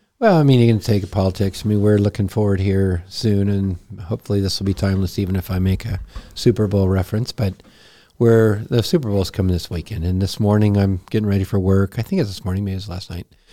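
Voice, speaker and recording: A man speaks at a very fast pace in a fairly low, dark, mellow voice with fairly even intonation. The recording is very clean with a silent background. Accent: American. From Texas. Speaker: pastor. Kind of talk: casual chat.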